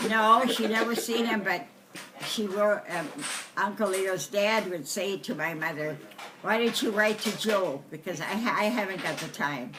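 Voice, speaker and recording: The intonation is lively. Noticeable background noise and audible room echo fill the recording. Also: woman, medium pitch for a woman, moderate pace. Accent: American. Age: 80s+. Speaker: family elder interviewed about family history. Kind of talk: casual family interview. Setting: deer camp.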